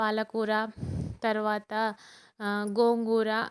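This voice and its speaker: A woman's fairly high voice in a very clean recording, silent background, dry and close with no echo. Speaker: gardening vlogger. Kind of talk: video tour and tips. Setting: outdoors on terrace garden.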